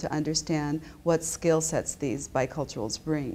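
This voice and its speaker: A woman speaks with a very deep, low pitch. Her tone is dark and mellow, and her pace moderate. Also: very clean recording, silent background. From Japan. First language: Japanese. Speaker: business school professor. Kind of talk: interview.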